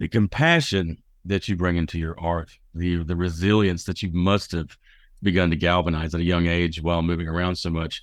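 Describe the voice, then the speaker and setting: Against a quiet background, a man with a Southern US accent speaks in a very deep, low pitch. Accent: Southern US drawl. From US South. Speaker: radio host. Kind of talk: radio interview show. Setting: studio. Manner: animated, joking.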